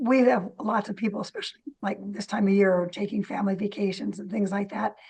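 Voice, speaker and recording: With vocal fry and ordinary pitch variation, a woman talks at a medium pitch. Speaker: library director. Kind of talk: casual interview.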